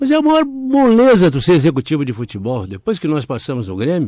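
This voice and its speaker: A man with a fairly high pitch talks at a moderate pace on a very clean recording with a silent background. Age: 70s. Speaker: former football club director. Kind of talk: interview. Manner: halting.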